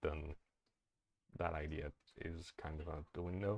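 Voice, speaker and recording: Dry and close with no echo, a man's somewhat breathy voice sits very deep and low in pitch. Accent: non-native. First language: not English. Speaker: streamer. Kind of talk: live-stream tutorial. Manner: halting, many fillers.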